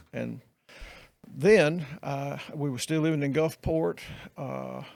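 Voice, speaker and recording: Speaking very slowly with a Mississippi accent, the man has a fairly high pitch and ordinary pitch variation. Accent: US Southern (Mississippi). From Mississippi, Meridian. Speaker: retired pastor. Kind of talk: casual interview chat. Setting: podcast, in person. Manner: halting.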